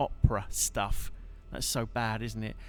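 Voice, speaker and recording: A man talks at a moderate tempo. Background music accompanies him. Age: 40s. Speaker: guitarist and live streamer. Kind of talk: live stream chat between songs. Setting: live stream.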